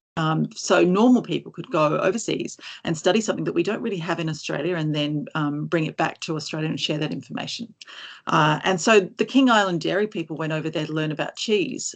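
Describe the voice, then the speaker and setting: This woman talks at a very fast pace with a fairly low pitch and vocal fry. The background stays quiet. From Sydney, western suburbs. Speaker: science communicator and trucking industry fellow. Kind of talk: conference talk. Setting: webinar. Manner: casual, self-deprecating, with many fillers.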